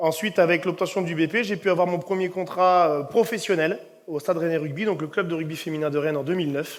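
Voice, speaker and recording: Over a silent background in a very clean recording, a man with a high voice speaks at a very fast pace with fairly even intonation. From Brittany, France (Ille-et-Vilaine). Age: 30s. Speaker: rugby coach. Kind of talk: conference talk. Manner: hesitant, many fillers.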